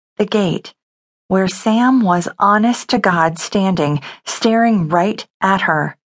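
Plain reading aloud with ordinary pitch variation, over a quiet background.

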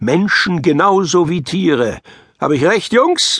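A man's very slow speech with very wide pitch swings. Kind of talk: audiobook reading of a children's story, narrated aloud.

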